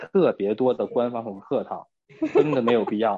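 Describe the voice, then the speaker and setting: The man speaks at a medium pitch. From Northeast China. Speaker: office worker and friend of host. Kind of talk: casual chat.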